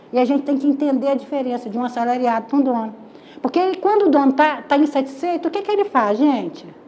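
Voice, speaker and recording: With very wide pitch swings and a high pitch, a woman talks at a very fast pace in an animated tone over noticeable background noise. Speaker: lecturer. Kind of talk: lecture.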